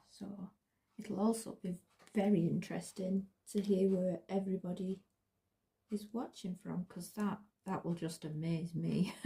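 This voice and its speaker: A woman's medium-pitched voice with a dark, mellow tone, somewhat breathy, at a moderate pace, flat and monotone in intonation, with long, frequent pauses and a strong northern English accent. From northern England. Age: 40s. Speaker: craft vlogger. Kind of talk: casual crafting vlog. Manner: halting, repeats words.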